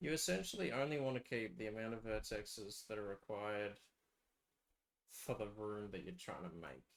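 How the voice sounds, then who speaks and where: A man speaks at a moderate pace with lively intonation. His pitch sits fairly low. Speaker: game map developer streamer. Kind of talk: live stream tutorial. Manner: soft-spoken.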